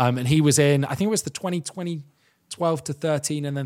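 A man with an English accent talks at a fairly quick pace, his fairly high pitch held to fairly even intonation. The recording is very clean, with a silent background. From England. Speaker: radio presenter. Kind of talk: casual chat.

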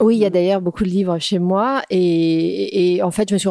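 A woman speaks at a medium pitch with fairly even intonation. Her pace is fairly slow. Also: dry, close sound with no echo. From Paris suburbs (Créteil). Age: 50s. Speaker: entrepreneur, grocery founder. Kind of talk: casual interview. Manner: hesitant with fillers.

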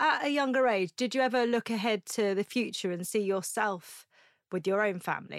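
Here is an unremarkable speaking voice, moving at a moderate speed with normal rises and falls in pitch. The recording is very clean against a silent background, and the sound is dry and close with no echo. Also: woman, fairly high pitch for a woman. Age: 30s. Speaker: podcast host. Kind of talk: casual chat; promotional read.

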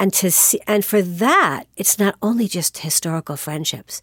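A woman's normal speaking voice at medium pitch and moderate pace, with lively intonation, in a very clean recording with a silent background and a dry, close sound with no echo. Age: 60s. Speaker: podcaster and life coach. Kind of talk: casual interview conversation.

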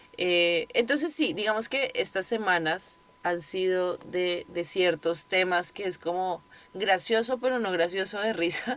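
With a plain, everyday voice, a woman speaks at a fairly slow pace, her pitch medium and her pitch variation ordinary. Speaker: podcast host and yoga teacher. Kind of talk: casual monologue. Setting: recording in her closet.

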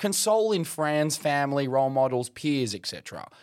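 On a very clean recording with a silent background, a man with an Australian accent speaks with lively intonation. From remote Western Australia (Kimberley, outback). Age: 20s. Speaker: journalist. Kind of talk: casual chat.

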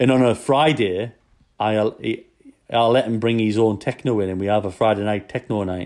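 Here is a man with a Geordie accent and fairly low pitch. His intonation stays fairly even. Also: moderate pace. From Newcastle, northeast England. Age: 30s. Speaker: chef. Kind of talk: casual interview.

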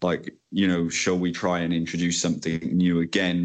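A man with a Welsh accent speaks at a very deep, low pitch. His intonation is monotone and flat, his pace fairly quick. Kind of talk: interview. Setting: Skype call. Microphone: choppy line.

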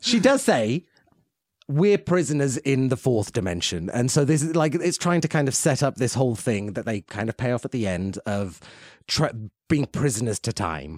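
A man speaks in an animated tone at a medium pitch, swinging very widely up and down. The recording is very clean, with a silent background. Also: moderate pace, dry, close sound with no echo. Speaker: podcast host. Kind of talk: casual podcast banter. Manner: jokey, animated.

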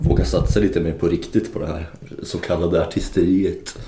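Speech at a fairly quick pace comes with noticeable background noise and audible room echo. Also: man. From Luleå, northern Sweden. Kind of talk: casual interview.

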